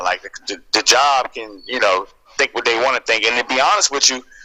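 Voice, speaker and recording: A man's voice comes through with noticeable noise behind it. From US, Washington DC area. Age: 30s. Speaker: YouTuber and school worker. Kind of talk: radio interview. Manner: casual, many fillers.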